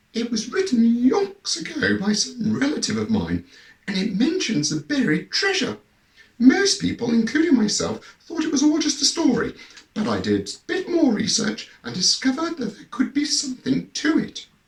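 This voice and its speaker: A man's put-on character voice, extremely high in pitch with very wide pitch swings, croaky and husky, at a moderate pace. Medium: read story. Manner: genteel, emotional.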